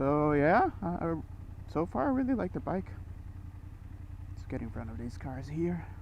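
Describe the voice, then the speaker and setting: A man at a moderate pace, with long, frequent pauses and audible room echo. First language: not English. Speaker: motorcycle vlogger. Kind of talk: casual motovlog while riding. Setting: riding a motorcycle on the road. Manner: hesitant, many fillers.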